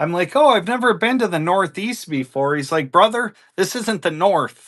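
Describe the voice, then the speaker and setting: A man with a strong Minnesota accent talks with lively intonation in a bright, sharp tone. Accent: strong northern US (Minnesota). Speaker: livestream coin seller. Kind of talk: live selling stream chat. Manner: casual, chatty.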